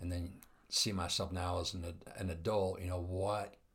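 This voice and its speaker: There is some breathiness in this voice. The speech goes neither fast nor slow, at a middling rate. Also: man. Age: 50s. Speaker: interviewer, coffee company leader. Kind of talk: casual interview.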